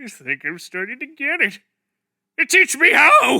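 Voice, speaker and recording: Putting on a cartoonish character voice, a man projects at an extremely high pitch and a moderate pace. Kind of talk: cartoon fan dub. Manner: dramatic, theatrical.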